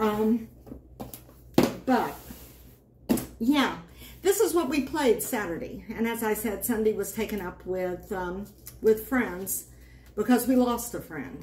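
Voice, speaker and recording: A woman speaks at a very slow pace with long, frequent pauses and a fairly high pitch. Her pitch varies in an ordinary way, and there is noticeable background noise. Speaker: board game channel host. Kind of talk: casual talk to camera.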